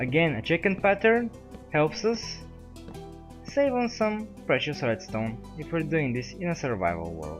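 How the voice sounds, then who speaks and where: A man's fairly high voice with very wide pitch swings at a fairly slow pace, music in the background. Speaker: game tutorial maker. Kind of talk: game tutorial narration. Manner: mechanical-sounding.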